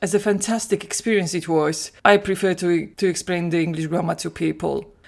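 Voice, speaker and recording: A woman with a Polish accent talks at a medium pitch with fairly even intonation and hardly any pauses. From Poland. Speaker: language teacher. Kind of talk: solo podcast monologue.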